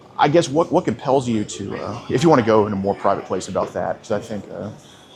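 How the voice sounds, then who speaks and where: Over music in the background, a man talks at a very fast pace and a medium pitch, with lively intonation and big swings in loudness. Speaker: predator hunter confronting suspects. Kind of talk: confrontational interview. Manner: halting, repetitive.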